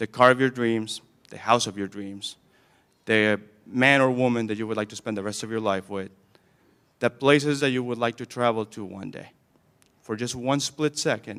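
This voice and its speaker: In a very clean recording with a silent background, a man with a non-native accent speaks at a medium pitch with fairly even intonation, big swings in loudness, and long, frequent pauses. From Camden, Maine, immigrant childhood. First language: not English. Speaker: graduation guest speaker, alumnus. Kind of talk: commencement speech. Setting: school gym with audience.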